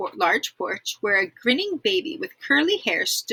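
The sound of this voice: An unforced reading voice carries the whole clip.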